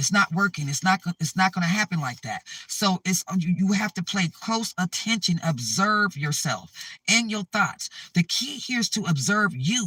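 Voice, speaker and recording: At a moderate pace, a raised, projected voice with a bright, sharp, animated tone and lively intonation comes through in a dry, close sound with no echo. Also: man, high pitch for a man. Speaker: spiritual vlogger. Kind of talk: spiritual talk to camera.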